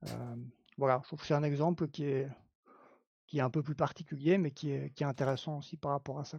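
A man with a Belgian accent talks at a fairly quick pace but leaves long, frequent pauses. His fairly high, somewhat breathy voice is flat and monotone, with big swings in loudness. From Belgium. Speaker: clinical psychology assistant. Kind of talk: live-stream panel discussion.

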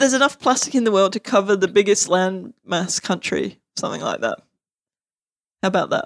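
A woman with an Australian accent, medium-pitched, with lively intonation, vocal fry and a fairly quick pace. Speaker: academic and activist. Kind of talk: casual chat.

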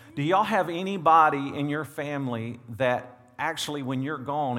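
The voice moves at a moderate pace with ordinary pitch variation. Room echo is audible. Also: man. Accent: Southern US. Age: 40s. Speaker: pastor. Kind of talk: sermon. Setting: church. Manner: animated.

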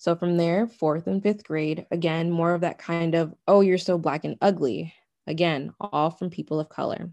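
Against a quiet background, a woman with an American accent speaks in a fairly low voice with a dark, mellow tone. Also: fairly even intonation, moderate pace. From US, Nigerian American family. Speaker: interview participant. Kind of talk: personal testimony.

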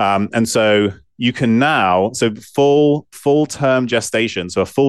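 This man speaks with an English accent. His pitch is medium. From southwest England. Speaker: physician and scientist. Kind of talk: interview.

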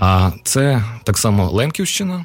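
A man's voice, somewhat breathy. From Uzhhorod, Transcarpathia, Ukraine. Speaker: poet and writer. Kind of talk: casual chat. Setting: studio.

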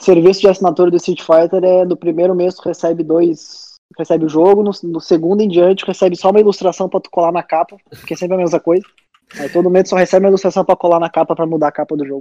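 Speaking at a very fast pace in a monotone, flat intonation, a man with a high pitch and a dark, mellow tone shows big swings in loudness, in a dry, close sound with no echo. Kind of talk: casual chat. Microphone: poor audio quality.

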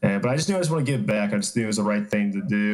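Someone with an American accent speaks with ordinary pitch variation. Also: man. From Atlanta, Georgia, US South. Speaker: athletic trainer and strength coach. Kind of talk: casual interview chat.

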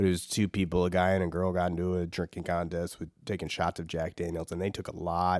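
A man talks very fast in an American accent, with hardly any pauses and monotone, flat intonation. His very deep, low pitch comes through on a very clean recording with a silent background. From US Midwest, Saint Louis. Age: 30s. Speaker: comedian. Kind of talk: casual chat.

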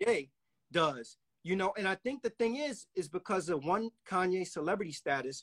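A man with a high pitch speaks at a moderate pace, his intonation lively. The sound is dry and close, with no echo. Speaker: podcast host. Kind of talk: casual chat.

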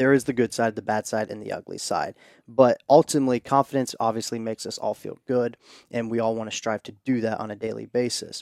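The very clean recording, with a silent background, captures a man speaking at medium pitch. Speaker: podcast co-host. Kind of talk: casual chat. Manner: animated.

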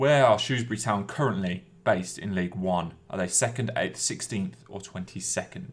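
A man with a normal speaking voice at a fairly low pitch, moderate pace, lively intonation and hardly any pauses. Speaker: podcast host. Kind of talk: casual chat.

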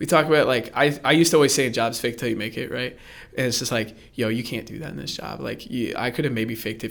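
A man with an American accent talks at a very fast pace, his medium pitch carrying lively intonation and vocal fry. His loudness swings widely. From Central Florida, Orlando area. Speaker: church youth worker. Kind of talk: personal testimony interview. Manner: casual, filler-heavy.

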